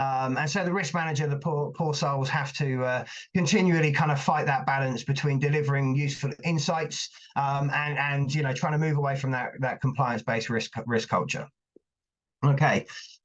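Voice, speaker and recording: A man speaks at a fairly high pitch, his intonation fairly even and his voice somewhat breathy. His loudness stays very even throughout. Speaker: invited speaker on risk management. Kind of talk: webinar presentation. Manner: fast; many fillers and repetitions.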